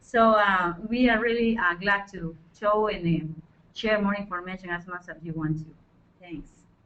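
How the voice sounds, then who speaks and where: This woman, with a Spanish accent, speaks at a moderate pace and medium pitch, with ordinary pitch variation and big swings in loudness. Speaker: forestry project leader. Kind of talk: webinar panel discussion. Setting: online webinar.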